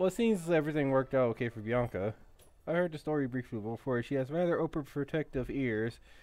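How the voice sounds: What you hear is a voice reading naturally.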